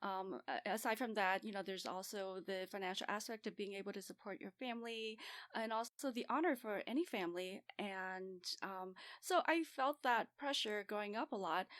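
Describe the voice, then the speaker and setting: The sound is dry and close, with no echo and a quiet background. Pitch varies in an ordinary way at a moderate pace. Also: woman, medium pitch for a woman. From Southern California (Santa Ana), born in Vietnam. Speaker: family and lifestyle medicine physician. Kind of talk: podcast interview.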